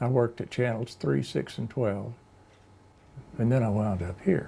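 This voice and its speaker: Somewhat breathy with a dark, mellow tone, a man speaks at a medium pitch. His intonation is lively and his pace moderate. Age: 70s. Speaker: radio program director. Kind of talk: interview. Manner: halting, stutters.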